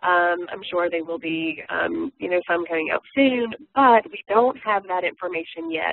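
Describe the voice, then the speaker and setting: Her pitch medium and her intonation lively, a woman with a plain, everyday voice speaks at a fairly slow pace. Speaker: community college instructor. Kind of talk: webinar presentation. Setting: webinar. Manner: many filler words.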